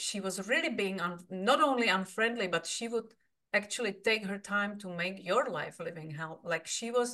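Speaking at a moderate pace with a Czech accent, a woman has a bright, sharp tone, medium pitch and ordinary pitch variation. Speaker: podcast host. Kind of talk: interview.

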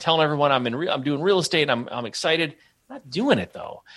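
A man with an American accent speaks at a very fast pace in a bright, sharp tone, his fairly high voice edged with vocal fry against a quiet background. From Michigan, US Midwest. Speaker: author and real estate entrepreneur. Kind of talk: podcast interview.

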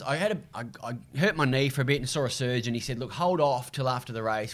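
In an Australian accent, a man at medium pitch talks at a moderate pace with ordinary pitch variation, on a very clean recording with a silent background. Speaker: TV and radio racing presenter, triathlete. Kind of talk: casual interview.

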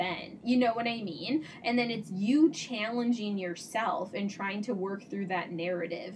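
A woman with a medium-pitched voice and ordinary pitch variation talks at a moderate pace, with noticeable background noise behind her. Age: 30s. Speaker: psychotherapist and podcast co-host. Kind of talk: casual chat.

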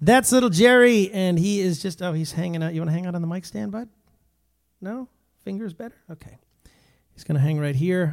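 Animated, high-pitched male voice at a fairly quick pace, with lively intonation, big swings in loudness and long, frequent pauses. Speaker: worship leader streaming live. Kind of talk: casual live-stream chat between songs. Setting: live video stream.

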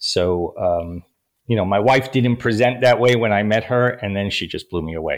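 A man at a moderate pace and medium pitch, with ordinary pitch variation. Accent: New York. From New York City (Bronx, Queens). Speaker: life coach and author. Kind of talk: interview.

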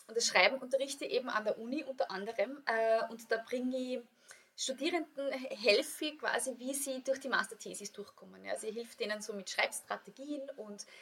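A woman speaks in a high pitch with an Austrian accent. Her tone is bright and sharp, and her pace is fairly quick. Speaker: yoga teacher and author. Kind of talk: casual interview. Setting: studio.

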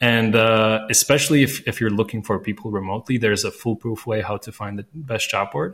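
A man with a Latvian accent, fairly low-pitched, at a fairly quick pace with fairly even intonation and hardly any pauses. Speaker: recruiter and founder. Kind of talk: casual interview chat. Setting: remote call from Budapest.

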